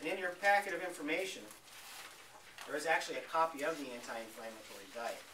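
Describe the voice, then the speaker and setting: Amid audible room echo and noticeable background noise, a man talks at a very fast pace with a fairly high pitch, lively intonation and long, frequent pauses. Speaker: health practitioner giving a talk. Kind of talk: health seminar talk to audience.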